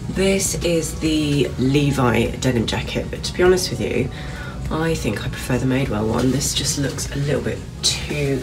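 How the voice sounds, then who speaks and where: A woman talks while clear music sounds behind her. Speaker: fashion vlogger. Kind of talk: casual try-on vlog chat. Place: shop. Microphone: phone near.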